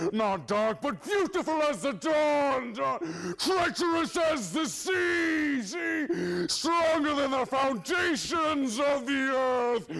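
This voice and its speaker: A man puts on a character voice with an extremely high pitch, speaking at a very slow pace. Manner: grand, echoing.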